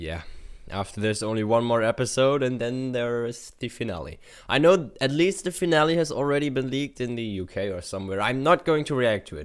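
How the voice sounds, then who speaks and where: At a fairly quick pace, someone with a German accent speaks on a very clean recording with a silent background. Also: man, medium pitch for a man, lively intonation. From Germany. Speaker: YouTube reactor. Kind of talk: reaction commentary. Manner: hesitant, many fillers.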